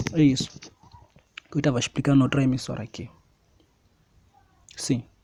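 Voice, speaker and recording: This man talks at a fairly quick pace in a fairly high pitch. His intonation stays monotone and flat. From Mozambique. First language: Xangana (Tsonga) (speaking Portuguese). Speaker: preacher. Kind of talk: sermon.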